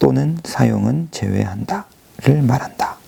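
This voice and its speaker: This quiet man speaks very slowly, his pitch swinging very widely. Noticeable background noise sits behind him. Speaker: government PR officer. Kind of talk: casual chat; reading aloud. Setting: empty office at dawn. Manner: quiet, ASMR-style.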